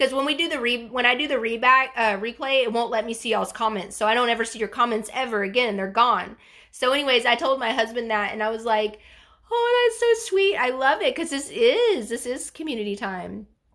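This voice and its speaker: A woman with a high-pitched voice and ordinary pitch variation speaks at a fairly quick pace. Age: 40s. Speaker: bariatric surgery vlogger. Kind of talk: livestream chat reading viewer comments. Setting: live stream. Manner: animated.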